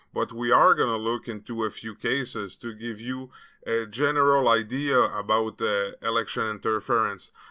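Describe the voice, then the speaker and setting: A man speaks with a French Canadian accent in a bright, sharp tone. His pace is moderate, his intonation fairly even, and the recording very clean with a silent background. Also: medium pitch for a man. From Quebec. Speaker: political commentary youtuber. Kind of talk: video commentary.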